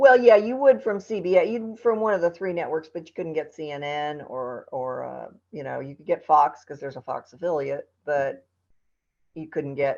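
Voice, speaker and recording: A woman talks at a moderate pace in a very deep, low pitch. Her pitch swings very widely and her loudness swings a lot. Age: 60s. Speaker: TV news anchor. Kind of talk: casual chat. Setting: podcast interview.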